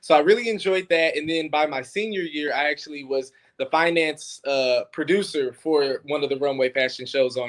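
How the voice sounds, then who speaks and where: An unremarkable speaking voice from a man with an American accent, fairly high-pitched, at a moderate pace. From Detroit, US Midwest. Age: 20s. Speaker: filmmaker. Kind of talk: interview. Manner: casual.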